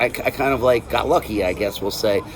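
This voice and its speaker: A man speaks at a moderate pace with ordinary pitch variation while noticeable background noise runs underneath. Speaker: death metal guitarist and vocalist. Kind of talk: interview. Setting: after a show, quiet area. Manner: casual, halting with many fillers.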